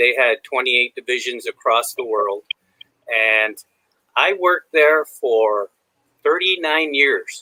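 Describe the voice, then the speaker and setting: Here a man with an American accent has a normal speaking voice. He keeps a moderate pace with ordinary pitch variation. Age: 60s. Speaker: retired supply chain manager. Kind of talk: podcast interview.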